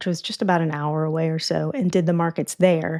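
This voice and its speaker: A woman with an American accent speaks in a normal speaking voice at a moderate pace and a fairly low pitch. The recording is very clean, with a silent background and a dry, close sound with no echo. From United States. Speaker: travel points expert. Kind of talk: casual chat. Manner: casual, many fillers.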